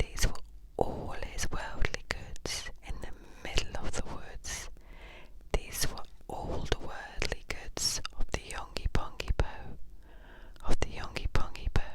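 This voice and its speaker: There is noticeable background noise. Beneath it, a whisper moves at a very slow pace. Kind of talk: poetry reading. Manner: whispered.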